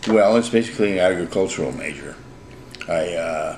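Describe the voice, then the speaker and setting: Noticeable background noise and audible room echo surround a man talking with ordinary pitch variation. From Southern California (Oceanside). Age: 70s. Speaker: retired businessman. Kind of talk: casual interview chat. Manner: halting, many hesitations; quiet.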